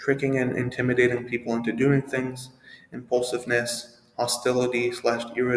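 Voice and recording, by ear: A passage is read out loud. The delivery is natural.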